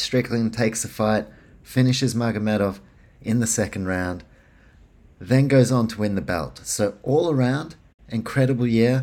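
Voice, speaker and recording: With a New Zealand accent, a man at medium pitch speaks at a moderate pace, using ordinary pitch variation and long, frequent pauses. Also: very clean recording, silent background. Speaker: sports podcast host. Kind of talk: solo podcast monologue. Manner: casual, many filler words.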